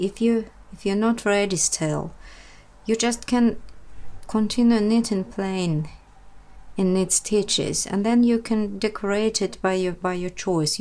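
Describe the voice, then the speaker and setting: In a Russian accent, a woman speaks at a medium pitch, fairly slowly and with fairly even intonation. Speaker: knitting tutor. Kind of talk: tutorial. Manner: halting.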